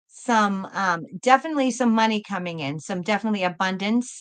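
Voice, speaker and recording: With a Boston accent, a woman talks at a moderate pace and a fairly high pitch, her intonation lively against a quiet background. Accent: Boston accent, noticeable but moderated. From Massachusetts, Boston area. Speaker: tarot reader, live stream host. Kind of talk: live tarot reading stream. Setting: live stream. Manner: repetitive, warm and effusive.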